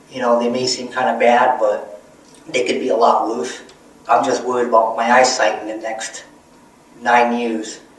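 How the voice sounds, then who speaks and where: With long, frequent pauses, a man speaks at a moderate pace and medium pitch amid audible room echo and noticeable background noise. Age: 30s. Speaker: vlogger. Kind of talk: personal vlog monologue. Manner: hesitant, many fillers.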